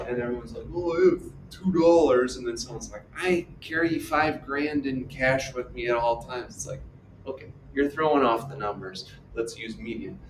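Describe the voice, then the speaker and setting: An animated man with a fairly high voice speaks amid audible room echo. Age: 60s. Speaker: math teacher. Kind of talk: lecture.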